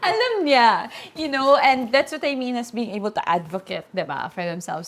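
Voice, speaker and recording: The woman's intonation is lively. Noticeable background noise runs under her voice. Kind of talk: podcast interview. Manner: code-switching Tagalog and English.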